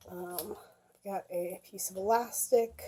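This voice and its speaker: Speaking very slowly, a woman uses a medium pitch and fairly even intonation in a dark, mellow tone. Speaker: cosplay video creator. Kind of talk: show-and-tell tutorial. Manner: casual with many fillers.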